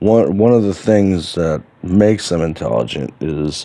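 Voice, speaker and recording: Here a man is speaking. His pace is fairly slow. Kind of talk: unscripted monologue. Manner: hesitant, with fillers and stutters.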